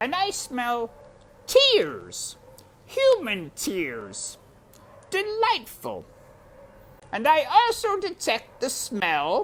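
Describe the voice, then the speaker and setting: In a high-pitched, put-on character voice, the speaker goes at a very slow pace with long, frequent pauses. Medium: read story. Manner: gloating, relishing.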